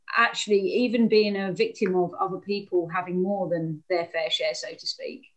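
A woman with a southern English accent, medium pitch and ordinary pitch variation, at a moderate pace over a quiet background. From England, Hastings. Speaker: anti-poverty campaigner. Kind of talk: online talk. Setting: video call. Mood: calm, reflective storytelling. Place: home room. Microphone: video call.

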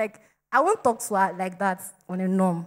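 A woman's fairly even intonation over a quiet background. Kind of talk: testimony to congregation. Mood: joyful, thankful, laughing. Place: church. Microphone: handheld.

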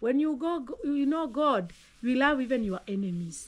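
A woman with a Kenyan accent, high-pitched, with lively intonation and a moderate pace. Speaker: mother of the host, teacher and preacher; mother of the host, teacher, preacher. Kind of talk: casual chat; casual conversational advice. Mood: earnest, reflective. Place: garden. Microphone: phone near.

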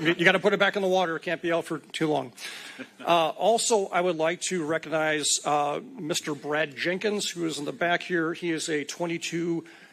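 A man's fairly high voice at a fairly quick pace, with fairly even intonation. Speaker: Secret Service special agent, cybersecurity presenter. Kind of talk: public presentation at a city meeting. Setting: city commission meeting at podium. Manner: fast; casual, joking.

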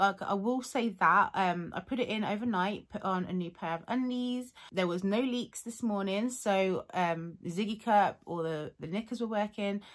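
Over a quiet background, a woman talks at a moderate pace with hardly any pauses. Her pitch varies in an ordinary way. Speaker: vlogger. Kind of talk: casual vlog chat. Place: home room. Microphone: phone near.

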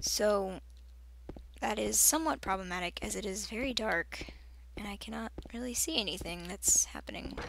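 Speech moves at a moderate pace, broken by long, frequent pauses. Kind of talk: let's play commentary. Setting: home recording with microphone. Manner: soft-spoken.

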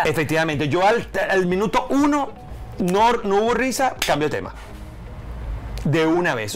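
Over light background noise, a man with a high pitch speaks with lively intonation. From Venezuela. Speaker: stand-up comedian. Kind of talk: interview answer. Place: studio. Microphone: lapel.

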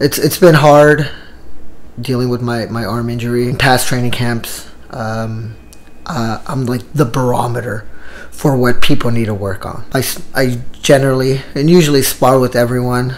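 A man speaks at a medium pitch and a moderate pace. Noticeable background noise runs under his voice. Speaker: Muay Thai coach and vlogger. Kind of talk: casual travel vlog to camera. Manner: halting, many fillers.

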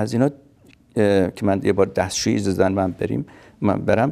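A man speaks in a fairly low, dark and mellow voice with vocal fry. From Kurdistan, Iran (Qorveh, near Sanandaj); Iran. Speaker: refugee telling life story; interviewee. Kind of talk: testimony. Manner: halting. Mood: calm, reflective. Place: home room.

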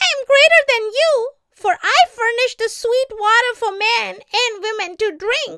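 A woman puts on a squeaky character voice with extremely high pitch at a moderate pace. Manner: angry, boastful.

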